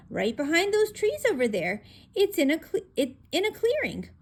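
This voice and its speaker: Using a squeaky, put-on character voice, a woman speaks at an extremely high pitch with very wide pitch swings and very even loudness. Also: moderate pace. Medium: read story. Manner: hesitant, stammering, fearful.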